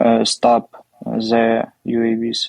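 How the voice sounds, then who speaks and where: A man with a Ukrainian accent, his voice dry and close with no echo. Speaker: military officer. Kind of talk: interview. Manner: halting.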